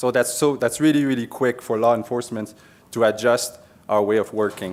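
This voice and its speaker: This man talks at a fairly quick pace. His medium-pitched voice has fairly even intonation. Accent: Quebec. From Quebec. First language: French. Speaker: police officer. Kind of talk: conference presentation.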